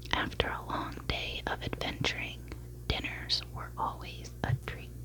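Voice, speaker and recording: A woman whispers fairly slowly while noticeable noise fills the background. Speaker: ASMR creator. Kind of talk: bedtime story reading. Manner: whispered.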